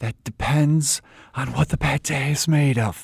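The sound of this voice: A breathy, raspy put-on character voice at a low-to-middle pitch and moderate pace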